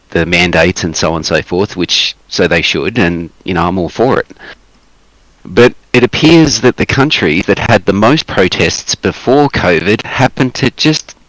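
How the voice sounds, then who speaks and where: A man with an Australian accent speaks at a moderate pace in a very deep, low voice. His intonation is lively and the sound is dry and close with no echo. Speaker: activist guest on livestream. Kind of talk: casual chat.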